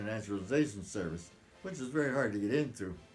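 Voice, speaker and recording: At a very fast pace, a man with an American accent speaks at medium pitch amid audible room echo. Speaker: retired immigration officer. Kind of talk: family history interview. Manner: halting.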